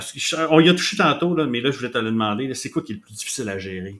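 A man is speaking. His intonation is lively. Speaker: podcast host. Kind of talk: casual chat.

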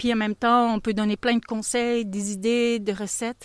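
With an ordinary speaking voice, a woman talks at a moderate pace, her fairly high pitch carried by fairly even intonation. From Belgium (Flanders). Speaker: goat cheese farmer. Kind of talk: interview. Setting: on the farm.

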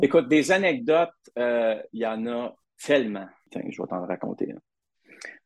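Speaking at a fairly slow pace, a man with a fairly high pitch uses very wide pitch swings and big swings in loudness. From Quebec, Hull (Outaouais). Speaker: sports reporter. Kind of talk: interview.

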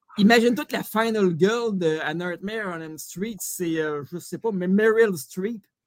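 The delivery is fairly slow and has hardly any pauses, in a Quebec accent. Loudness swings widely while pitch varies in an ordinary way. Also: man, high pitch for a man. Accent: Québécois French. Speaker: comedian. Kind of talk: comedic quiz show.

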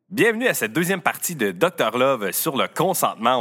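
The tone is bright and sharp, with a Quebec accent. The pace is moderate. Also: man. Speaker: podcast host. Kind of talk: casual chat.

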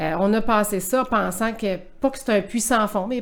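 Talking at a fairly quick pace, a woman has a normal speaking voice, a fairly high pitch and fairly even intonation. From Quebec City. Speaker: sports event director. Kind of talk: interview.

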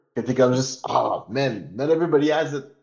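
Fairly quick, fairly high-pitched speech from a man, its pitch varying in an ordinary way. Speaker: podcast co-host. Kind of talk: casual chat.

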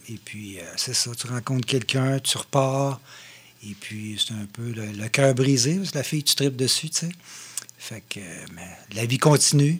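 A man with a medium pitch talks at a fairly slow pace, leaving long, frequent pauses. His pitch varies in an ordinary way. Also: big swings in loudness. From Quebec, Mauricie (Shawinigan). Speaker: drummer. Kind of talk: casual chat.

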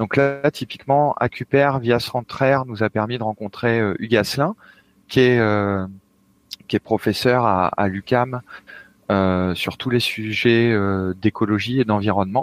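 Speaking at a fairly slow pace, a man with a medium-pitched voice uses ordinary pitch variation, recorded dry and close with no echo. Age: 30s. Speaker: video game technical artist. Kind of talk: interview. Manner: halting, frequent repetitions.

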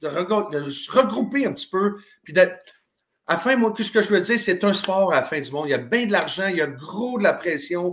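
A man's high-pitched voice at a moderate pace, with lively intonation. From Quebec (Drummondville). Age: 50s. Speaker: retired hockey player. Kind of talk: interview.

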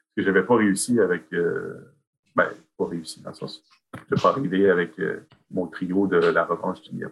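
With big swings in loudness, a man talks at a moderate pace and leaves long, frequent pauses. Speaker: author and high school French teacher. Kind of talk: interview.

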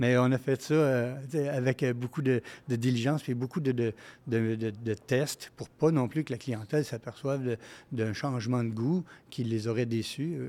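A man's dark, mellow, medium-pitched voice, with a fairly slow pace and fairly even intonation. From Quebec (Montreal, then Saint-Félix). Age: 60s. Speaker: restaurant chain executive. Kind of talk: casual interview. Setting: microbrewery, live recording.

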